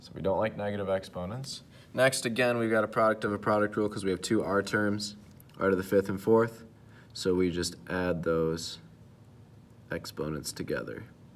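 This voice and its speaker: A man's fairly low voice carries ordinary pitch variation. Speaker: math teacher. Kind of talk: tutorial. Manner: fast; hesitant with fillers.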